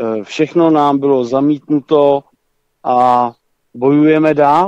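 A man speaks at a very slow pace. His pitch sits fairly high. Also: dry, close sound with no echo. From northern Czech Republic. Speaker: caller. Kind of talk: phone-in call. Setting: phone call. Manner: halting.

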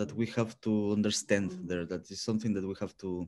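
Nothing can be heard in the background. The tone of the voice is dark and mellow. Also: man. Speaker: guest. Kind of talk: interview answer. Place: home room. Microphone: video call.

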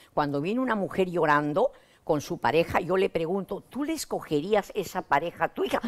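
At a moderate pace, a woman with a fairly low pitch makes very wide pitch swings. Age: 80s+. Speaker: psychotherapist; guest. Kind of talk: interview. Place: studio. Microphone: lapel.

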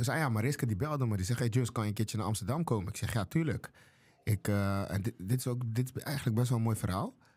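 Speaking at a very fast pace, a man sounds somewhat breathy. His pitch varies in an ordinary way. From Curaçao. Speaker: chef and restaurant owner; podcast guest. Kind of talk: casual interview. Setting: studio. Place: studio. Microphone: studio mic.

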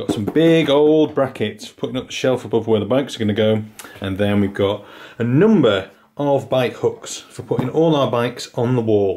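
The speaker is a man. He talks at a moderate pace with ordinary pitch variation. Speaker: home vlogger. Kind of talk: casual vlog chat. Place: garage. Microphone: phone near.

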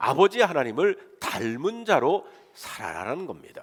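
The pace is fairly slow. A man speaks at a high pitch. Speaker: pastor. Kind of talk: sermon.

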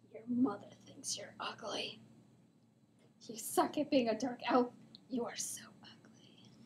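A female-sounding, put-on character voice, raspy and high-pitched, moves at a fairly slow pace with long, frequent pauses. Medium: cartoon. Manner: taunting, scolding.

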